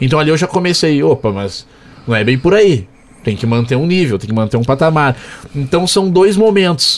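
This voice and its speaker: A man's fairly high voice with very wide pitch swings, over noticeable background noise. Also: moderate pace. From Porto Alegre, southern Brazil. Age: 20s. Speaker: sports radio commentator. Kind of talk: casual interview.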